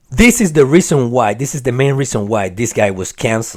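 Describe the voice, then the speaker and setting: A man is speaking here. His pitch varies in an ordinary way. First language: not English. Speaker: political commentary YouTuber. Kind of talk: casual opinion monologue.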